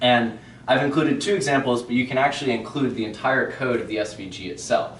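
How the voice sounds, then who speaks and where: Very fast speech comes from a man at a medium pitch with ordinary pitch variation. Noticeable background noise and audible room echo fill the recording. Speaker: web developer presenter. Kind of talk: meetup tech presentation. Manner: casual, filler-heavy.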